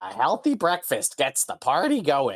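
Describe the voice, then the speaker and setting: A man puts on a character voice. It is high-pitched and delivered at a moderate pace. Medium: actual play. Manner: eager, chummy.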